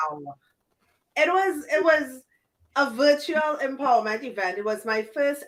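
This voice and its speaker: Very wide pitch swings mark this speaker with a Trinidadian accent. The pace is fairly slow. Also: woman. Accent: Trinidadian Caribbean accent, noticeable. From Trinidad and Tobago. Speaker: business coach and podcast host. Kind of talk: interview.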